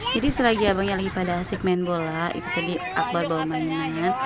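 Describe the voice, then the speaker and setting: A woman with a fairly low pitch talks at a very fast pace, her pitch varying in an ordinary way. Noticeable background noise runs underneath. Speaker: vlogger, housewife. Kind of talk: casual vlog narration. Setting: outdoors in a park.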